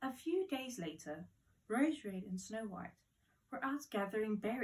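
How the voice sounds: The voice reads naturally.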